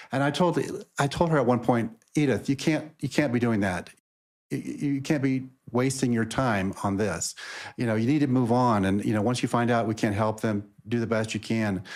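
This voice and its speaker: A plain, everyday voice from a man at a medium pitch and moderate pace, with ordinary pitch variation, on a very clean recording with a silent background. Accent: American. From Texas, Houston. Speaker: lawyer. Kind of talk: interview conversation. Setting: podcast.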